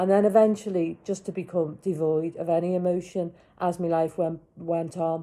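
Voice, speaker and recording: Her voice is fairly low in pitch with a dark, mellow tone, as the woman talks at a moderate pace in a monotone, flat intonation. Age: 50s. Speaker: vlogger. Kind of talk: personal vlog testimony.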